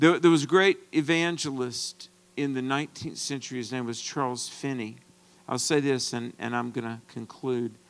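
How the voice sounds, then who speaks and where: This is an unremarkable speaking voice with an American accent. It moves at a moderate pace. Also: man, medium pitch for a man, ordinary pitch variation. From US, rural farm background. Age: 50s. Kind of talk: sermon.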